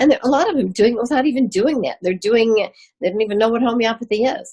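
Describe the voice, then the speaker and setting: Somewhat breathy, a woman's voice rises and falls with lively intonation. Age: 80s+. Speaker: doctor with ALS. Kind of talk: Q&A interview.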